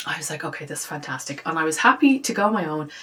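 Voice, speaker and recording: A woman with an Irish accent, a fairly low pitch and an animated tone, over noticeable background noise. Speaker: lifestyle vlogger. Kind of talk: casual vlog chat. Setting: home office. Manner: chatty, animated.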